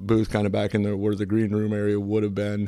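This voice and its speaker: Someone talks at a fairly quick pace with an American accent while music plays in the background. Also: man. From US Midwest, Jefferson, Iowa. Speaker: home builder and church deacon. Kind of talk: casual chat; testimony.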